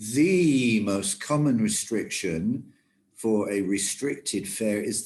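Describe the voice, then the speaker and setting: Very wide pitch swings mark this man's speech. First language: German. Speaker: travel industry trainer. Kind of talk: lecture.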